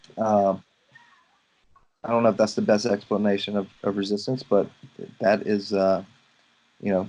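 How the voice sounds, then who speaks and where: A man is speaking. He has a Louisiana accent. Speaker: photographer and mentor. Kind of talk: casual mentoring conversation.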